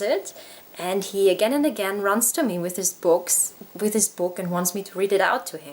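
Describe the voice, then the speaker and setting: A woman of medium pitch with a German accent, over noticeable background noise. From Germany. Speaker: parenting vlogger. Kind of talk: book review. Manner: casual, hesitant with many fillers.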